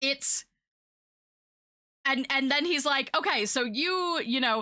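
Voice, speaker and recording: In a raised, projected voice with an American accent, the speaker uses very wide pitch swings and a bright, sharp tone. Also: woman. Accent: noticeable US accent, often commented on. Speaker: streamer. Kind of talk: casual chat. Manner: many fillers, halting.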